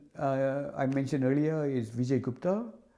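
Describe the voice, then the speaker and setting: A man's fairly high-pitched voice with a dark, mellow tone, a Tamil accent, and a moderate pace. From Sri Lanka (northern, Jaffna area). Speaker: hydrology professor. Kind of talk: interview. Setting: office. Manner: halting, many repetitions and fillers.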